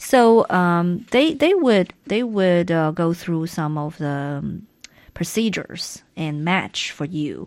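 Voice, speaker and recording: Over a quiet background, a woman with a fairly low pitch speaks very slowly in a Chinese accent, her intonation lively. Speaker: radio co-host. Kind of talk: casual chat. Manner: halting.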